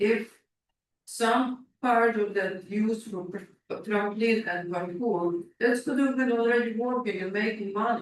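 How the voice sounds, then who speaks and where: A man's high voice with a non-native accent, fairly even intonation and a fairly slow pace. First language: not English. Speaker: public delegate at council meeting. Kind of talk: public delegation Q&A. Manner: halting.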